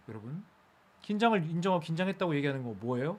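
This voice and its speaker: An animated man with very wide pitch swings, in a very clean recording against a silent background. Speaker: speech coach. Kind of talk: live-streamed lecture. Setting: live stream. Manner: fast.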